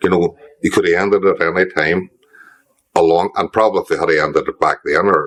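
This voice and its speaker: At a very fast pace, a man speaks with a Northern Irish accent. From Derry, Northern Ireland. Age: 60s. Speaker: former IRA prisoner. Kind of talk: interview answer. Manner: casual, conversational.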